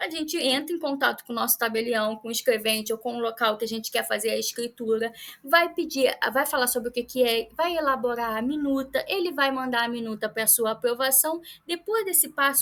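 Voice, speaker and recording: Talking at a fairly quick pace, a woman uses a high pitch with ordinary pitch variation. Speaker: lawyer. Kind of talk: lecture. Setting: pre-recorded talk for workshop. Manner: fast.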